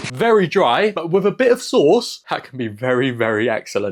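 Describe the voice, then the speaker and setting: A man with an English accent and an animated tone, fairly high in pitch, with very wide pitch swings. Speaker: food vlogger. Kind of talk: casual vlog food review. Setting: at home at night.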